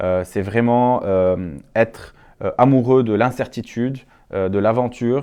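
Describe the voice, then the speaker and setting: A dark, mellow tone comes from a man talking against a quiet background. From Lebanon. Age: 30s. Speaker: entrepreneur, startup founder. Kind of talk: interview monologue. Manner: frequent hesitations (euh).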